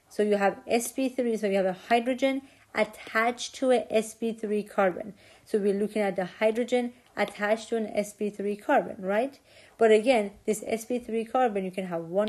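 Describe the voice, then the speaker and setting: Against a quiet background, a woman uses an ordinary speaking voice, fairly high and fairly even in intonation, at a moderate pace. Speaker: chemistry lecturer. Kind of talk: lecture.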